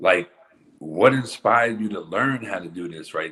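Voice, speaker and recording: With a bright, sharp tone, a man speaks at a moderate pace in a fairly low voice. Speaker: interviewer and music artist. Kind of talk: interview. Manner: stuttering.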